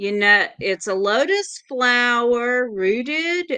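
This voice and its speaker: A woman with a Southern US accent speaks at a very slow pace over a quiet background. Her high-pitched voice has a bright, sharp tone and very wide pitch swings. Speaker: tarot reader. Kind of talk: casual chat.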